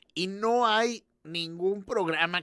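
Recorded very cleanly against a silent background, a man speaks in a bright, sharp tone with ordinary pitch variation. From northern Mexico, Allende. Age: 30s. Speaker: podcast co-host. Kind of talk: casual chat.

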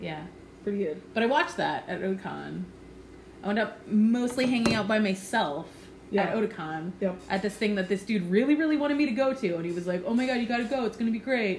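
With an American accent, a woman speaks at a very fast pace in a medium pitch. Her intonation is lively. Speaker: podcast host, embroidery artist. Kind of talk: casual chat.

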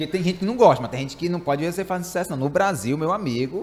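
A man speaks in a Ceará accent. His voice is high, with ordinary pitch variation. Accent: Ceará Northeastern Brazilian. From Fortaleza, Ceará, Brazil. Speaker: podcast host. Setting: studio.

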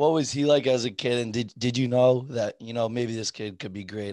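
A man with a dark, mellow tone and medium pitch talks at a fairly quick pace with hardly any pauses, his intonation fairly even but his loudness swinging widely. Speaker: podcast host. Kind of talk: casual interview.

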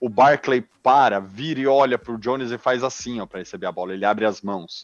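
Ordinary pitch variation over a man's medium pitch. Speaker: NFL fan commentator. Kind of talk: casual sports talk. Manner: animated.

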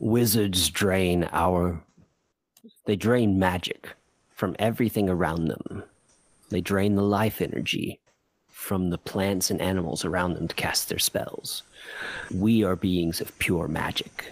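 Putting on a character voice, a man growls in a very deep, low, gravelly, rumbling tone at a fairly slow pace, with long, frequent pauses. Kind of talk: fantasy game master character voice. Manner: slow, solemn, gentle.

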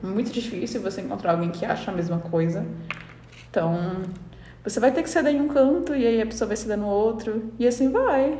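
A woman talks at a fairly quick pace with lively intonation and a fairly high pitch, with audible room echo. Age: 20s. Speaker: podcast co-host. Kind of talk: casual chat.

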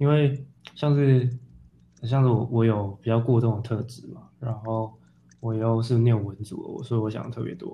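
A man talks at a moderate pace and a medium pitch. His tone is dark and mellow, and somewhat breathy. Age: 30s. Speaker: photographer and theatre director. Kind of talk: casual interview. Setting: remote call with earphones.

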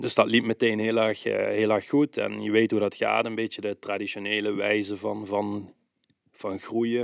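Silent background, very clean recording, and a man speaking at a fairly slow pace. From Netherlands, Limburg (Swalmen). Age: 30s. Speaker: bicycle repair shop owner. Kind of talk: interview. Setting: on location at his shop. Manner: hesitant, many filler sounds.

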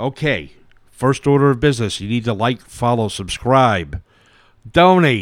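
A man with a New York accent, medium in pitch, at a fairly slow pace. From New York City, Brooklyn and Staten Island. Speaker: podcast co-host. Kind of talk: casual chat.

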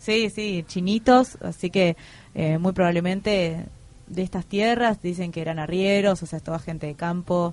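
A woman's fairly low voice, a plain, everyday voice, with fairly even intonation and a fairly slow pace. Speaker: community radio host. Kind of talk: casual radio chat. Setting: radio studio.

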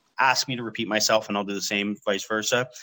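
Speaking with a Canadian accent, a man uses a medium pitch and a bright, sharp tone. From Canada, London, Ontario. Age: 30s. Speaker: podcast host. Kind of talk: casual chat. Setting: long-distance online call.

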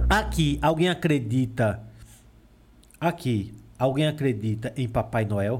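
Over a very clean recording with a silent background, a man speaks at a very slow pace with long, frequent pauses, vocal fry and lively intonation. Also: medium pitch for a man. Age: 20s. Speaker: podcast host. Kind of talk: casual chat with children. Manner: animated.

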